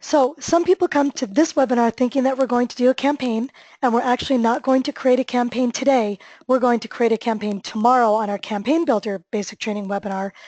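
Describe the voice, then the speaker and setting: A woman talks very fast in a high voice. The sound is dry and close with no echo, and the background is quiet. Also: ordinary pitch variation. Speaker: software trainer. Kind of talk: webinar tutorial. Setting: online webinar.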